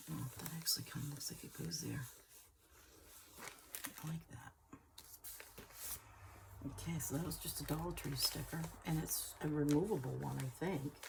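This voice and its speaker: With noticeable background noise, a woman talks at a moderate pace and leaves long, frequent pauses. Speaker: junk journal crafter. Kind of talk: casual craft talk to camera. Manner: hesitant, thinking aloud.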